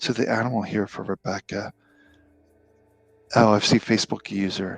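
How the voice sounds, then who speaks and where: A man's fairly low, monotone voice, dry and close with no echo, over music in the background. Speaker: spiritual healer and card reader. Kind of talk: live-stream Q&A with card readings. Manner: slow, calm and relaxing.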